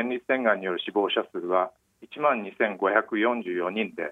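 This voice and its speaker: Lively intonation marks a man's very slow delivery. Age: 50s. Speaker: newspaper medical journalist. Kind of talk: interview about personal cancer experience. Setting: phone call.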